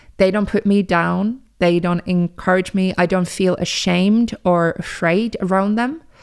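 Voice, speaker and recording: The recording is very clean, with a silent background. A woman speaks at a fairly slow pace with a medium pitch and fairly even intonation. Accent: Finnish. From Finland. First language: Finnish. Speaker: podcast host. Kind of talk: casual monologue. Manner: conversational, with fillers.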